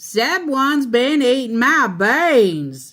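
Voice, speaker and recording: A woman puts on a gruff, growling character voice with a high pitch, speaking at a very slow pace. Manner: growling, riled.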